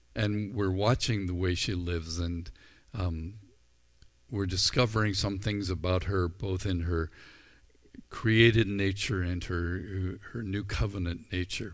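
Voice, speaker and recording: Amid audible room echo, a man with a very deep, low pitch speaks at a fairly slow pace with fairly even intonation. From Ireland. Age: 60s. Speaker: pastor. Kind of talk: sermon. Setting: recorded without live audience. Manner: halting.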